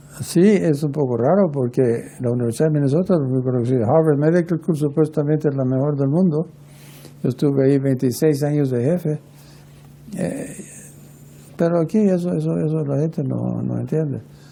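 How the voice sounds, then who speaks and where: Over noticeable background noise, a man with a fairly high voice speaks at a moderate pace, leaving long, frequent pauses. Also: ordinary pitch variation. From Guatemala. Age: 80s+. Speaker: pediatric heart surgeon. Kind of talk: interview. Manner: halting, with many fillers and restarts.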